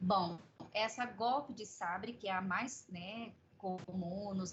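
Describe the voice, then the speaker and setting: A woman's somewhat breathy voice with fairly even intonation and audible room echo. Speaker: medical professor. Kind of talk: lecture.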